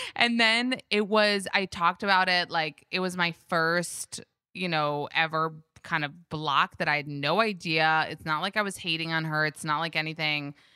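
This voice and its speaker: In an American accent, a woman speaks at a moderate pace and a fairly low pitch with ordinary pitch variation, her tone bright and sharp and the sound dry and close with no echo. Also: very clean recording, silent background. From New York and Israel. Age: 30s. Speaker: Instagram creator and podcaster. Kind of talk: casual chat.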